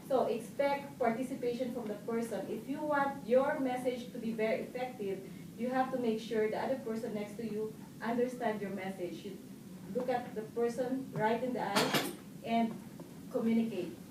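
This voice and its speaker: A woman speaks at a fairly high pitch and a moderate pace. Her pitch varies in an ordinary way, with noticeable background noise behind her. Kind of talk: public speaking club speech.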